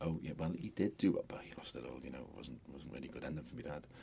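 A man talks very fast with a Liverpool accent. His very deep, low voice carries vocal fry. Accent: Scouse. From Liverpool, England. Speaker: hotel business owner. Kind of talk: interview. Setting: studio.

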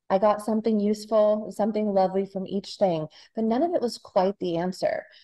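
Her voice has a dark, mellow tone at medium pitch, as a woman speaks fairly quickly with ordinary pitch variation. The sound is dry and close with no echo. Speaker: author. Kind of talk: interview.

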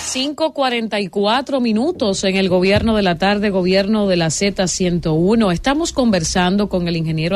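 Against noticeable background noise, a woman with a medium pitch speaks at a fairly slow pace with hardly any pauses, ordinary pitch variation and very even loudness. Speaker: radio host. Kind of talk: talk radio panel. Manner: energetic.

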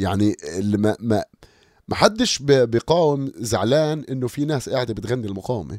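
Medium-pitched male speech at a moderate pace with lively intonation, dry and close with no echo, on a very clean recording with a silent background. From Amman, Jordan (Palestinian family). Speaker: rapper and songwriter. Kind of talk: interview conversation.

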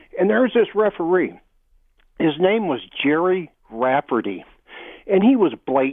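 Pausing long and often, a man speaks at a moderate pace with a high pitch and very wide pitch swings. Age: 60s. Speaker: radio show caller. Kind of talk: call-in radio chat. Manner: halting, many fillers.

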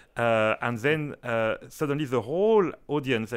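The intonation is lively. The speaker has a French accent. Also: man. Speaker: orchestra conductor. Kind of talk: interview. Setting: studio.

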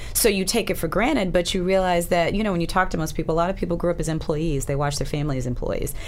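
With an American accent, a woman talks at a very fast pace with hardly any pauses, using a fairly low pitch and ordinary pitch variation as audible room echo fills the space. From Alabama, US South. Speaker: TV personality and model. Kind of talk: casual chat.

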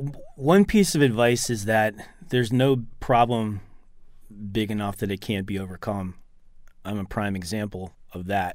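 The speaker moves at a moderate pace with ordinary pitch variation. Long, frequent pauses break up the speech. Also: man, fairly low pitch for a man. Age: 50s. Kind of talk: radio interview.

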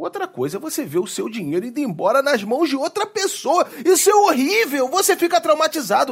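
Extremely high for a man, this male voice swings very widely in pitch. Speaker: comedian. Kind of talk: comedic sketch chat.

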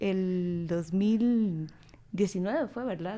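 A woman's voice at medium pitch. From Guatemala. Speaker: political scientist. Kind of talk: casual chat.

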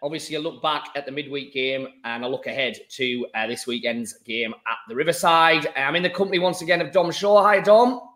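A man with a Teesside accent talks at a fairly quick pace in a fairly high pitch, hardly pausing at all. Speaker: football podcast host. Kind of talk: casual chat. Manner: relaxed, with fillers.

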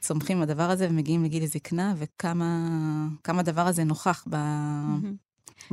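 A woman speaks with a very deep, low pitch and a dark, mellow tone. Her intonation is flat and monotone. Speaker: podcast co-host. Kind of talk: casual chat.

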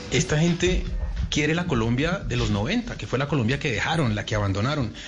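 Fairly high-pitched male speech at a very fast pace, with noticeable background noise. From Uruguay. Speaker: radio host. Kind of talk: casual chat.

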